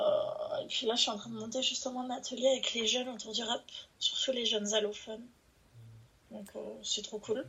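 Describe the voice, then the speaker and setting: The speech moves at a moderate pace, with long, frequent pauses. Its loudness swings widely. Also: woman. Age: 20s. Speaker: rap writer and youth worker. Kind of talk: casual chat.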